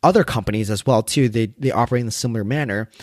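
An unremarkable speaking voice from a man, medium in pitch with ordinary pitch variation, in a Canadian accent, with a dry, close sound and no echo. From Canada. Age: 20s. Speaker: podcast host. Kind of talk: solo monologue podcast.

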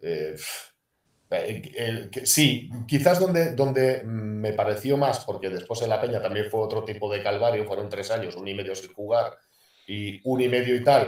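In a room with audible echo, a man speaks at a fairly slow pace with ordinary pitch variation. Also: medium pitch for a man. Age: 50s. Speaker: retired basketball player. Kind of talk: casual interview. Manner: halting.

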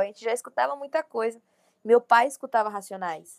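The speech comes at a very fast pace with ordinary pitch variation, on a very clean recording with a silent background and a dry, close sound with no echo. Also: woman. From Bahia, Brazil (Feira de Santana). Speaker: rapper. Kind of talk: casual interview.

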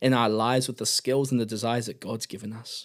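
A man with a New Zealand accent and fairly even intonation, in a very clean recording with a silent background. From New Zealand, Auckland. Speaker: podcast host. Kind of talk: faith devotional talk.

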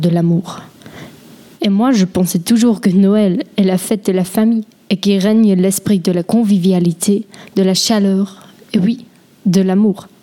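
A woman with a Swiss German accent at medium pitch, fairly even intonation and very even loudness, long frequent pauses, and noticeable background noise. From German-speaking Switzerland. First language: Swiss German (speaking French). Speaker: linguistics student. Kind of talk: scripted talk.

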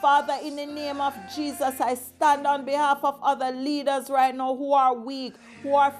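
With music in the background, a woman speaks at a moderate pace in an intense tone, her high pitch held to fairly even intonation. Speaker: evangelist. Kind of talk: fervent intercessory prayer, decreeing and declaring against spirits. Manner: intense, rhythmic, repetitive invocations of 'mighty God' and 'Lord Jesus'; commanding, combative warfare-prayer declarations.

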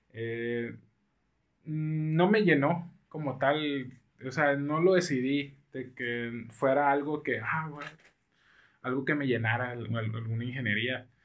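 Speaking at a very slow pace, a man uses a medium-pitched voice. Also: ordinary pitch variation. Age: 20s. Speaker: surgical resident doctor. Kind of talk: casual chat.

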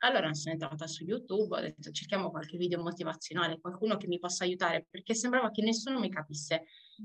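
Lively intonation runs through a woman's speech. She goes at a very fast pace. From Sardinia. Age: 20s. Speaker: pastry worker. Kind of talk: interview testimony. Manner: halting.

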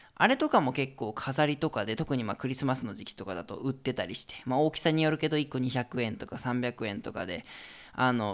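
An unremarkable speaking voice from a man at medium pitch, fairly quick, with lively intonation, in a very clean recording with a silent background. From Japan, Hokkaido. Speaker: podcast host, travel guide. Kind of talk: solo podcast talk. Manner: casual, relaxed.

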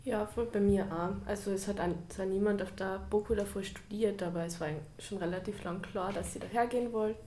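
A woman's fairly even intonation, with audible room echo and noticeable background noise. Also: medium pitch for a woman, moderate pace. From Carinthia, Austria. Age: young. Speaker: university student. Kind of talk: casual interview.

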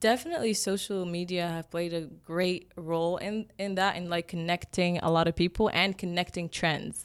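Monotone, flat delivery in an Egyptian accent at a moderate pace, hardly any pauses, very clean recording with a silent background. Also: woman, fairly low pitch for a woman. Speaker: makeup artist. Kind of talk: casual interview chat.

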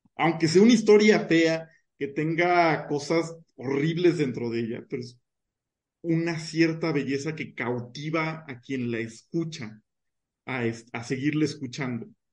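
This is a plain, everyday voice. Its pitch variation is ordinary. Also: man, fairly high pitch for a man, fairly slow pace. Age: 20s. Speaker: mathematician. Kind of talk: casual chat.

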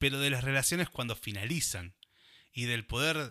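Bright and sharp, a man's voice moves at a moderate pace with ordinary pitch variation on a very clean recording with a silent background. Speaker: radio host. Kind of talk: casual chat.

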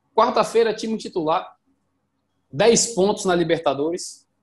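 A man speaks in a high voice. His pace is moderate. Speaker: football podcast co-host. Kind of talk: casual football chat. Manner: animated.

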